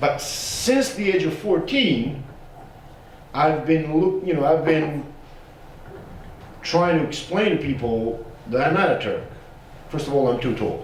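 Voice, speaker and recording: Over noticeable background noise and audible room echo, a fairly high-pitched man speaks fairly slowly with lively intonation and long, frequent pauses. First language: Bosnian. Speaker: genocide survivor and academic. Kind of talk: panel discussion. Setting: panel with audience, streamed. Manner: casual, animated; halting.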